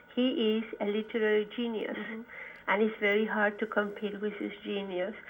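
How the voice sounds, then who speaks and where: Speaking at a moderate pace with a Spanish accent, a woman uses a fairly high pitch and monotone, flat intonation. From Chile, Santiago. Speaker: poet and professor. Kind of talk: interview. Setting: phone call.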